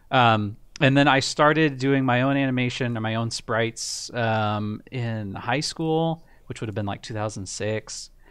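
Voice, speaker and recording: A man with an unremarkable speaking voice talks fairly slowly at a medium pitch, his pitch varying in an ordinary way. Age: 30s. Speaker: indie game developer. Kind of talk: casual chat.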